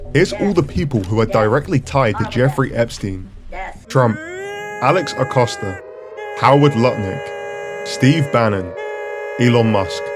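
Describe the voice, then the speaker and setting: Over music in the background, a man at a medium pitch speaks fairly slowly with very wide pitch swings and very even loudness. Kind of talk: opinion commentary video. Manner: animated.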